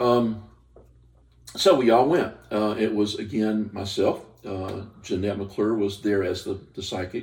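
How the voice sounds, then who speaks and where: A man with an American accent talks slowly-ish at a fairly low pitch, his voice somewhat breathy and his intonation fairly even. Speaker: paranormal investigator. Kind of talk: casual chat. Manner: halting.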